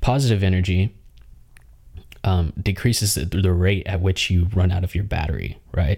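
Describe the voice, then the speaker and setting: A man with a very deep, low pitch and a dark, mellow tone talks at a moderate pace, somewhat breathy, with ordinary pitch variation. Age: 20s. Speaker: podcast host, artist and creative entrepreneur. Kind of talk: solo podcast monologue. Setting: video podcast recording at home. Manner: casual, conversational with fillers.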